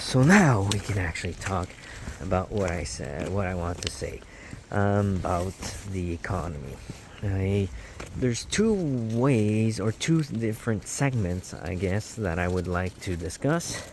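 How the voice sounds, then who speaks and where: Speaking with a non-native accent, a man uses lively intonation at a fairly low pitch and a fairly slow pace. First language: not English. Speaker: podcast host. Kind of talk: casual monologue. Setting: outdoors. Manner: halting.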